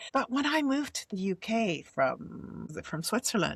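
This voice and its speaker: A woman with a Dutch accent talks at a moderate pace, her pitch swinging very widely, in a dry, close recording with no echo. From Netherlands. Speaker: podcast host. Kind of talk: casual interview chat.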